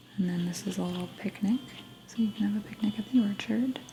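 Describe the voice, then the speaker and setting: The speaker is soft-spoken, with a calm tone. Music plays in the background. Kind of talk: soft-spoken game tour. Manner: soft-spoken, calm.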